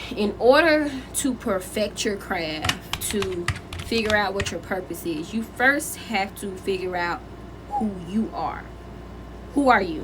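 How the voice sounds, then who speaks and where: Speaking very slowly, a woman with a medium pitch uses lively intonation while noticeable background noise runs underneath. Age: 20s. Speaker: spiritual content creator. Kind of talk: casual talk to camera.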